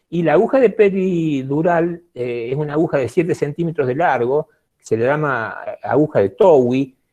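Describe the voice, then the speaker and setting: Dark, mellow tone from a fairly high-pitched man, at a moderate pace with ordinary pitch variation. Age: 70s. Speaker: physician. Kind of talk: lecture. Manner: hesitant with many fillers.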